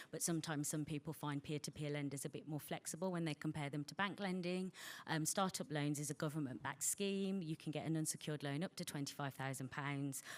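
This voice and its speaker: With a Birmingham accent, a woman talks very fast with hardly any pauses, her pitch very deep and low and her pitch variation ordinary. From England, Birmingham (West Midlands). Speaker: bank representative giving a funding talk. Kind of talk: presentation to an audience. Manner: frequent fillers (um).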